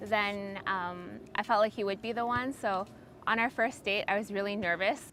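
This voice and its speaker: A woman's normal speaking voice, fairly high in pitch, at a moderate pace with ordinary pitch variation. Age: 20s. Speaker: pharmacist. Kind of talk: interview testimony. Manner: casual, many fillers.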